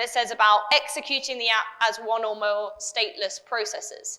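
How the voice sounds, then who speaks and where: A woman speaks loudly with a British accent and a high pitch. Her tone is bright and sharp. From UK. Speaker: developer advocate. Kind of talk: conference talk.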